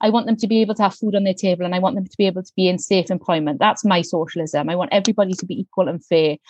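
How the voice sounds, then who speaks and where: Speaking very fast with hardly any pauses, a woman with a South Wales Valleys accent keeps a medium pitch and ordinary pitch variation while her loudness swings widely. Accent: South Wales Valleys Welsh English. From South Wales Valleys, Pontypridd. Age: young. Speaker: member of parliament. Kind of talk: interview.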